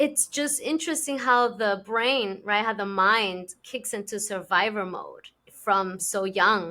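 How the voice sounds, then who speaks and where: This woman speaks fairly slowly with hardly any pauses, her pitch fairly high and its variation ordinary. She has a bright, sharp tone and a Spanish accent, heard on a very clean recording with a silent background. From immigrant to an English-speaking country. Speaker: podcast host. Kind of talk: casual interview chat.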